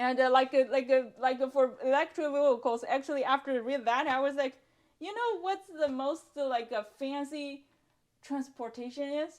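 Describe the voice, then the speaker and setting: A woman's high voice in a Chinese accent, at a moderate pace with ordinary pitch variation. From China. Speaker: bookstore owner. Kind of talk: casual chat. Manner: halting, many fillers and repeats.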